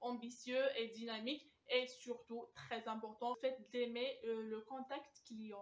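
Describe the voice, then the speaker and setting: A woman talks fairly slowly in a monotone, flat voice. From Algeria. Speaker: student job coach. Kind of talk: advice talk to camera. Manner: hesitant, many filler sounds.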